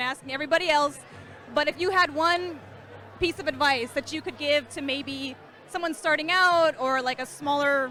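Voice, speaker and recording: A woman with a high pitch speaks fairly quickly in a raised, projected voice with ordinary pitch variation, with music in the background. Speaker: streamer interviewing attendees at a meetup. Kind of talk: casual event interviews. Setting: crowded indoor event. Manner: loud; animated.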